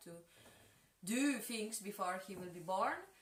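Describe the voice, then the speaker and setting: The speaker has a Polish accent and talks at a moderate pace. Audible room echo colors the recording. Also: woman. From Poland (Kraków), two childhood years in Mexico. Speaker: dancer and choreographer. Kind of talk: interview. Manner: halting, many hesitations.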